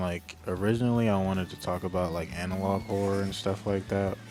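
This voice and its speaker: Music plays in the background. A man talks at a moderate pace with a very deep, low pitch. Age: 20s. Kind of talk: casual unscripted talk to camera. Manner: soft-spoken.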